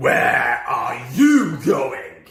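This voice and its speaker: A man does a put-on character voice that is growling and extremely high in pitch, with a slight echo. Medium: read story.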